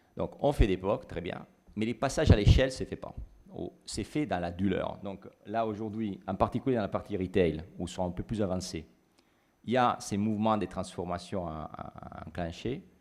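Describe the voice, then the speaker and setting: Delivery comes at a moderate pace with ordinary pitch variation. There is a slight Italian accent. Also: man, fairly low pitch for a man. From Italy. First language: Italian (speaking French). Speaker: business consultant. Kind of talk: panel discussion. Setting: stage with audience. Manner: halting.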